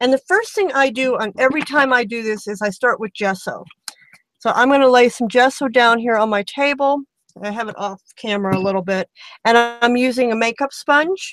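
Over music in the background, a woman talks at a fairly quick pace with ordinary pitch variation. Her pitch is high, and the sound is dry with no echo. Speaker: craft tutorial host. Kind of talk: tutorial. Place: home room.

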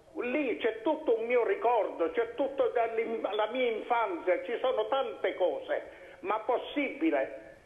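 Audible room echo surrounds a man talking at a very slow pace. His loudness stays very even. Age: 80s+. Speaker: talk show guest. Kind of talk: political debate. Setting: phone call. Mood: critical, argumentative. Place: studio. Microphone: lapel.

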